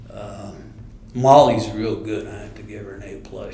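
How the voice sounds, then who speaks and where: The recording has audible room echo. Noticeable background noise is present too. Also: man. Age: 70s. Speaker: retired soil conservationist and district board supervisor. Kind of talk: oral history interview.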